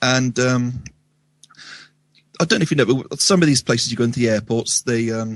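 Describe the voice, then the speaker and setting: With a Wiltshire accent, a man talks in a dry, close sound with no echo. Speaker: radio show guest. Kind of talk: casual storytelling interview. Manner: halting, many ums and restarts.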